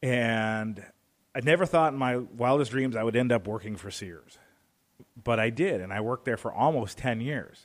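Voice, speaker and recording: A man's unremarkable speaking voice at a medium pitch, with ordinary pitch variation and a moderate pace. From Northwest Indiana, near Chicago. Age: 40s. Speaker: broadcasting operations director and stunt performer. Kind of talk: radio interview.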